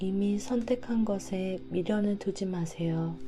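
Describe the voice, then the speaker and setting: In a calm, soothing tone, a woman speaks at a very slow pace with a medium pitch and ordinary pitch variation. Music plays in the background. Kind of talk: sleep-aid book reading for insomnia; audiobook reading, self-help book narration. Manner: calm, soft, soothing ASMR-style.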